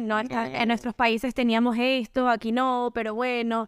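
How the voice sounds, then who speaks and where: The dry, close recording with no echo carries a woman speaking at a high pitch. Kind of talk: casual chat.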